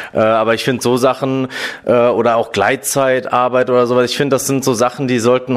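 A man with a mid-range voice talks at an average speed. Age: 30s. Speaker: office worker in human resources. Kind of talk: interview. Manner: hesitant with many fillers.

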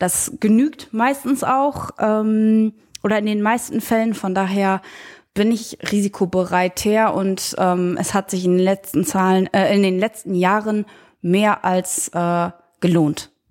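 Medium in pitch, a woman speaks at a very slow pace with very even loudness and ordinary pitch variation. The recording is very clean, with a silent background. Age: 20s. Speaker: young investor, trainee. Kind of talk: interview. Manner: halting, many fillers.

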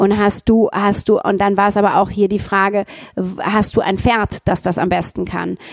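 The sound is dry and close, with no echo. A woman talks at a moderate pace in a monotone, flat way. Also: medium pitch for a woman. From Ruhrgebiet, Germany. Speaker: actress and founder. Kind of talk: casual interview.

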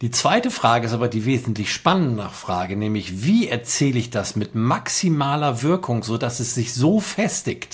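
A man with lively intonation at a moderate pace, hardly any pauses, and noticeable background noise behind him. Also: medium pitch for a man. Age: 50s. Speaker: music producer and storytelling consultant. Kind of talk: casual chat.

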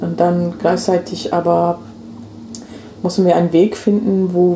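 This woman's pitch sits fairly low. Noticeable background noise is audible behind her. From England, London. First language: English (speaking German). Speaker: activist and migration researcher. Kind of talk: casual chat. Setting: at home on a sofa.

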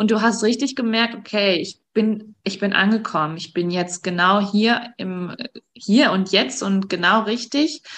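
Fairly slow delivery and ordinary pitch variation in a plain, everyday voice. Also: woman, medium pitch for a woman. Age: 40s. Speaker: breast cancer survivor. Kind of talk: interview.

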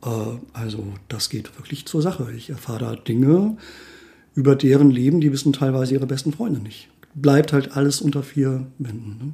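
A somewhat breathy voice with a dark, mellow tone, ordinary pitch variation, a moderate pace and big swings in loudness. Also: man, fairly high pitch for a man. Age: 40s. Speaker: life coach. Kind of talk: casual chat.

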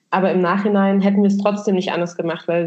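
A woman's mid-range voice stays monotone, its intonation flat throughout. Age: 30s. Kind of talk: interview.

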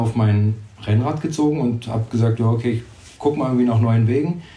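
The man's voice is somewhat breathy, with a dark, mellow tone at a medium pitch. His intonation stays fairly even. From Brandenburg, Germany. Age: 20s. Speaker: race organiser. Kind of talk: interview.

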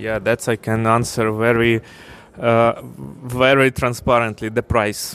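Speaking very slowly at medium pitch, a man keeps his intonation fairly even over noticeable background noise. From Ukraine. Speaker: fintech company CEO. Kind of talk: interview. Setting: conference.

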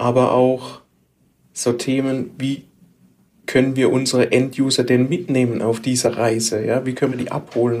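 A man with a Baden accent speaks at medium pitch and a moderate pace, his intonation monotone and flat. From Baden, southwest Germany. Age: 40s. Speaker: IT specialist, podcast co-host. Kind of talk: casual chat.

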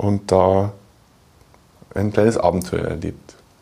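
A man is speaking. His pitch is fairly low and his pace very slow. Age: 30s. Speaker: software developer and children's author. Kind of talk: casual interview.

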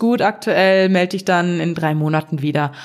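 A woman speaks at a moderate pace in a medium pitch, with a normal speaking voice. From western Germany (North Rhine-Westphalia). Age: 20s. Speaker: podcast co-host. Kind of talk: casual chat.

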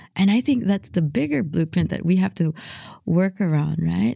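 A woman speaks with a somewhat breathy, dark and mellow tone at a fairly low pitch, on a very clean recording with a silent background. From Philippines, partly raised in San Francisco. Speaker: journalist. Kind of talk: interview.

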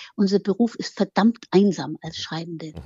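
A woman talks with lively intonation in a somewhat breathy voice. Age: old. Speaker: biographer, author. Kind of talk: interview conversation.

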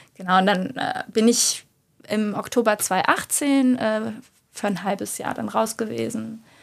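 This woman has a normal speaking voice, fairly high in pitch with ordinary pitch variation. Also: fairly slow pace. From Germany, Cologne. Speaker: yoga teacher and lawyer. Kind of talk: interview.

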